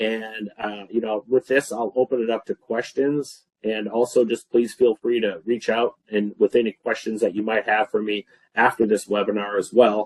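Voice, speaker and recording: The recording of this man is dry and close with no echo, and his pitch sits in the medium range. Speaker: filtration expert presenting webinar. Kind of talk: webinar Q&A. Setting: online webinar. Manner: fast.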